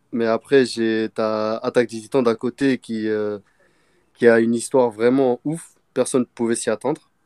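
On a very clean recording with a silent background and a dry, close sound with no echo, a man speaks at a medium pitch in a dark, mellow tone with monotone, flat intonation. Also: long, frequent pauses. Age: 20s. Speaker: machinist, manga fan guest. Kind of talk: casual chat.

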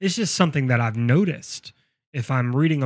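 Recorded very cleanly with a silent background and a dry, close sound without echo, this is a normal speaking voice with ordinary pitch variation. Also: man. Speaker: podcast host. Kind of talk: casual chat.

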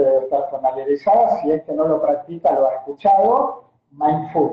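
The speaker is a man with lively intonation. His pace is fairly slow. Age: 40s. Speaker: motivation coach. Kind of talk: casual conversation.

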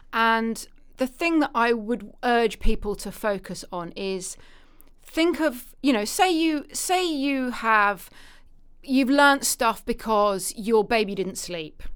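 A woman with a British accent speaks very slowly in a fairly high voice, on a very clean recording with a silent background. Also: lively intonation. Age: 40s. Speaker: literary agent and publishing consultant. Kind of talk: casual interview.

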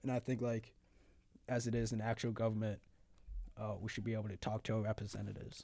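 A man with an American accent, fairly low in pitch and dark, mellow in tone, very fast yet with long, frequent pauses, in a monotone, flat intonation. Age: young. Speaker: college radio host. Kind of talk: casual chat.

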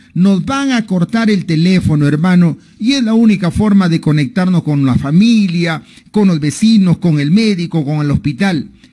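With lively intonation and a high pitch, a man delivers his words at a fairly slow pace. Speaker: radio host. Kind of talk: radio interview. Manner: animated.

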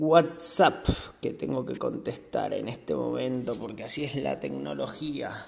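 Amid audible room echo and noticeable background noise, a man with an Argentine accent speaks at a very slow pace, his medium pitch moving in very wide pitch swings. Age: 30s. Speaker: podcast host, motorcycle instructor. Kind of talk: casual monologue.

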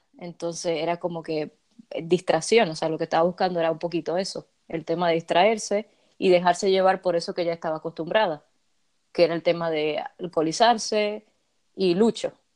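A woman with an ordinary speaking voice, fairly low in pitch, fairly even in intonation and fairly quick, dry and close with no echo, on a very clean recording with a silent background. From Dominican Republic. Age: 20s. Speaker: fan content creator. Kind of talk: casual chat.

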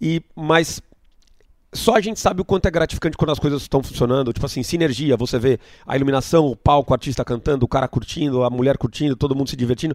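A very fast delivery with ordinary pitch variation, dry and close with no echo, on a very clean recording against a silent background. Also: man, fairly high pitch for a man. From Brazil, Itu (São Paulo state). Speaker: event promoter. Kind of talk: interview.

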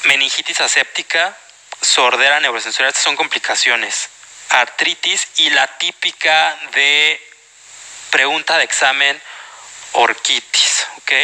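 A man's fairly high voice with a Mexican accent, very slow with long, frequent pauses and very even loudness, over noticeable background noise. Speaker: medical exam prep lecturer. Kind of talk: lecture. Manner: animated.

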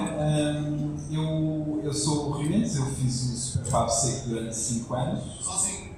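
The speech moves at a fairly slow pace with hardly any pauses and ordinary pitch variation. Audible room echo and noticeable background noise are present. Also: man. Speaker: podcaster. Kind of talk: panel discussion. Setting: stage with audience.

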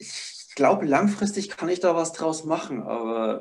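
A man speaks in a plain, everyday voice at a fairly high pitch. His pace is fairly slow, with lively intonation. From Upper Palatinate, Bavaria. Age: 20s. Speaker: barefoot living and ice bathing enthusiast. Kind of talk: casual interview.

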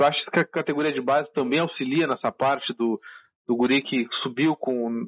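A plain, everyday voice from a man, fairly high in pitch, fairly even in intonation, at a moderate pace. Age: 20s. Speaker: podcast host, fan interviewer. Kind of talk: interview. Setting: phone call.

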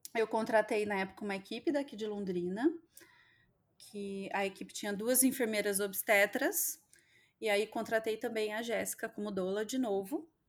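The recording is very clean against a silent background. A woman with a fairly high pitch talks at a moderate pace, with ordinary pitch variation. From southwest Minas Gerais, Brazil. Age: 30s. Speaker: mother sharing birth stories. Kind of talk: personal testimony in interview.

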